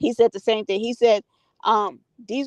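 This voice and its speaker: A woman speaks with a fairly high pitch and fairly even intonation. The sound is dry and close, with no echo. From US. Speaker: live stream host. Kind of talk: casual chat. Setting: live stream.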